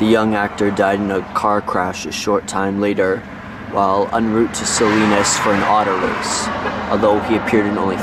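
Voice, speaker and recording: The sound is dry with no echo as a man talks at a moderate pace against loud background noise. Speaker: vlogger on a road trip. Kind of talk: casual vlog chat. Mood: awed, reflective. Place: street. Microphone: phone near.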